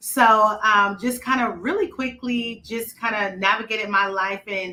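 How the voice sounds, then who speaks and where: In a Southern US accent, a woman talks fairly slowly in a medium pitch with a bright, sharp tone and ordinary pitch variation. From US South, rural South Carolina. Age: 30s. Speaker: podcast host and regional retail director. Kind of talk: interview.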